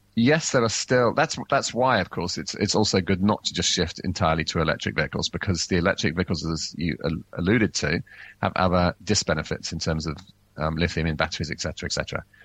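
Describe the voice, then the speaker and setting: Very deep and low, a man's voice moves at a fairly quick pace. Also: ordinary pitch variation. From England. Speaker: transport science advisor and researcher. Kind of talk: radio interview.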